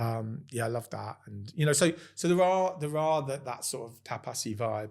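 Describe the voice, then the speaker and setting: A man with a London accent speaks with ordinary pitch variation. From London, England. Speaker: restaurant owner. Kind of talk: casual chat. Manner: halting.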